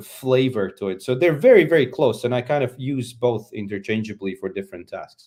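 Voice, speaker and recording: On a very clean recording with a silent background, a medium-pitched man with a dark, mellow tone speaks at a moderate pace with ordinary pitch variation. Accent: Latvian. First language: Latvian. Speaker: conference speaker. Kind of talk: conference talk.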